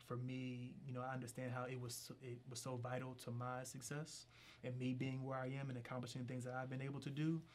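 Audible room echo surrounds a man speaking at a fairly quick pace. His voice sits at medium pitch with monotone, flat intonation. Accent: American. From Philadelphia, Pennsylvania. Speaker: political candidate. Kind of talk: interview.

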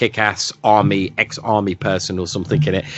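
A man with a British accent at a moderate pace. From Britain. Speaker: film podcast guest co-host. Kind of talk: casual chat. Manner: halting, many fillers and repeats.

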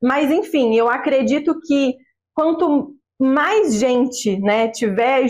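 Her voice sits high. The rise and fall of her pitch is typical. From interior of Rio de Janeiro state, Brazil. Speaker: belly dancer and dance teacher. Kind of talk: casual interview chat. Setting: remote recording from her mother's house.

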